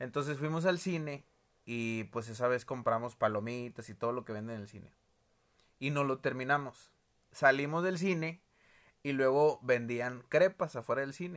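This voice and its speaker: On a very clean recording with a silent background, a man with a northern Mexican accent speaks with big swings in loudness. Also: medium pitch for a man, ordinary pitch variation, moderate pace. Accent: northern Mexican (Monterrey). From Mexico, Monterrey. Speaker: co-host, musician, father. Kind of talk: casual family chat.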